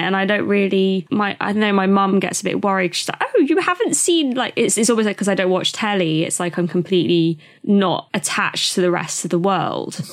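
A woman with a British accent speaks at medium pitch. Her pace is moderate, with hardly any pauses. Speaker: podcast co-host. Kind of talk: casual chat.

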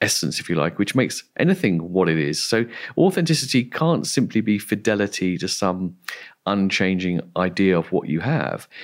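A man's very deep, low voice in an English accent. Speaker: philosopher. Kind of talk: interview. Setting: remote call.

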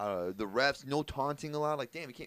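With typical rise and fall in pitch, the man uses a normal speaking voice. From Iranian-American family, US. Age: 30s. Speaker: comedian and podcast co-host. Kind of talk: casual chat.

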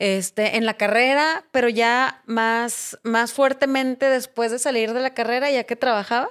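A woman with an unremarkable speaking voice talks at a fairly slow pace and a fairly high pitch, in a very clean recording with a silent background. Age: 40s. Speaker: politician and recovering addict. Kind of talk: interview testimony.

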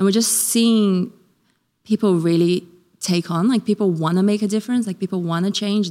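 A woman talks at a fairly quick pace in a dark, mellow tone with fairly even intonation. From Brazil. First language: Portuguese. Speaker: ministry development manager. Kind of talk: interview.

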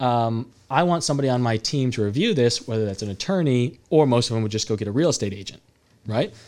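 Very fast and with ordinary pitch variation, a man talks at a medium pitch in a West Coast American accent, captured in a very clean recording with a silent background. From California, Salinas. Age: 30s. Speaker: real estate entrepreneur. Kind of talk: casual chat. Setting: studio.

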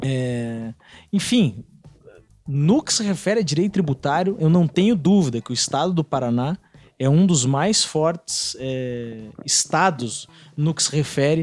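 The recording is dry and close with no echo, as a man with a normal speaking voice talks fairly slowly in a fairly high pitch with lively intonation. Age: 30s. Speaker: law professor. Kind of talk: casual podcast discussion, explanatory.

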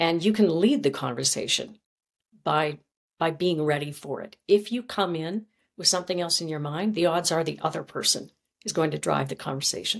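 Vocal fry colors a woman's fairly low voice in a very clean recording with a silent background. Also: ordinary pitch variation, moderate pace. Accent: Canadian. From Canada. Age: 50s. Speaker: former journalist and communications coach. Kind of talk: interview.

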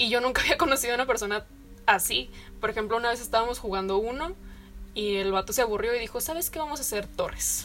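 With music in the background, a woman talks very fast at a fairly high pitch and with ordinary pitch variation. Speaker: civil engineering graduate. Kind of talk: casual chat.

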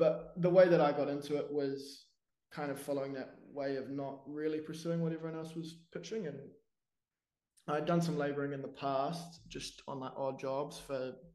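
A man with a New Zealand accent talks at a moderate pace in a fairly high pitch. His tone is dark and mellow, and his intonation is flat and monotone. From New Zealand, Wellington. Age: 20s. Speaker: business owner. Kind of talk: interview.

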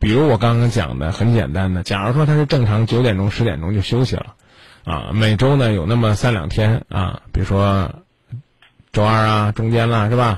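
This man's somewhat breathy voice is fairly low in pitch, with ordinary pitch variation. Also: moderate pace. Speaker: late-night radio call-in host. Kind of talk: radio call-in advice show. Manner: blunt, direct.

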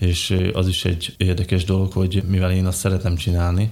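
A man's very deep, low voice has a dark, mellow tone, somewhat breathy and flat in intonation. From Slovakia, Bodrogköz (Hungarian minority). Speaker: design engineer and beekeeper. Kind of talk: interview.

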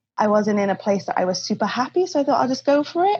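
A woman talks with a Cardiff accent. Her intonation is lively. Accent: Welsh English (Cardiff). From Wales, Cardiff. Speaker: podcast guest, traveller. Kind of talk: interview.

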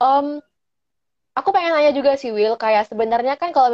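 Quick-paced delivery comes from a woman. She has a normal speaking voice. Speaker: podcast host. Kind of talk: casual interview.

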